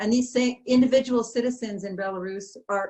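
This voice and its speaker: A woman with a Canadian accent speaks with fairly even intonation. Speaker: ambassador. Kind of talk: welcoming remarks at online panel. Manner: fast.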